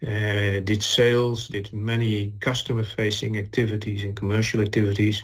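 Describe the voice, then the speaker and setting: A man with a Dutch accent speaks in a fairly low, somewhat breathy voice. He keeps a moderate pace and fairly even intonation. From Netherlands. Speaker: chemical industry executive. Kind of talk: corporate webinar presentation.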